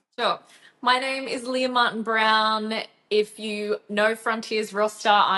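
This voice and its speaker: A woman with an Australian accent, medium in pitch, at a moderate pace. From Australia, Gold Coast, Queensland. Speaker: rock vocalist. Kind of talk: casual interview chat.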